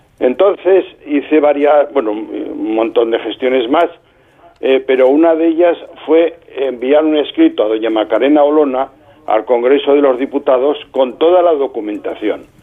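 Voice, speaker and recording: A man with a fairly high voice speaks at a moderate pace over noticeable background noise. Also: ordinary pitch variation. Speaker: lawyer. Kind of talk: interview.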